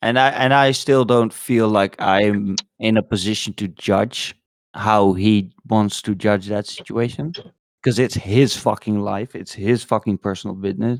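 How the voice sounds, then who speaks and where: A man with a fairly low pitch and fairly even intonation at a fairly slow pace, in a dry, close sound with no echo. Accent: non-native. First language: not English. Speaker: podcast co-host. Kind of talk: casual chat. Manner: halting, many fillers and restarts.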